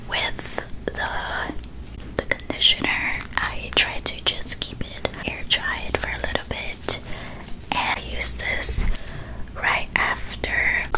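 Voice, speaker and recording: A whispered voice moves at a very slow pace with long, frequent pauses over noticeable background noise. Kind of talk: ASMR product review. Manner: calm, slow.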